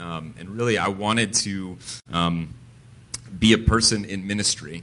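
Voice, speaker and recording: Bright and sharp in tone, this American-accented voice moves at a fairly slow pace with ordinary pitch variation over a quiet background. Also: man. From Connecticut, New England. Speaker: pastor and church planter. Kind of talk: interview testimony in church service. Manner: halting, many filler words.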